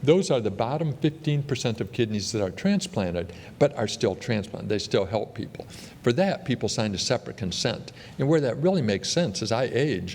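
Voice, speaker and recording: Pitch swings very widely at a fairly quick pace. Noticeable background noise is present. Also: man. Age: 60s. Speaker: transplant surgeon. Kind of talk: conference talk.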